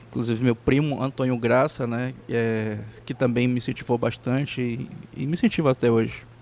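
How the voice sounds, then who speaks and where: A man speaks at a medium pitch. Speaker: musician. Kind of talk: interview. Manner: halting, many repetitions.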